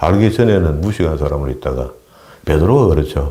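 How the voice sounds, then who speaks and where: A man with a very deep, low voice and ordinary pitch variation speaks at a fairly quick pace, with audible room echo and noticeable background noise. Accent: strong Gyeongsang. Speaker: pastor. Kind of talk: sermon. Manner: halting.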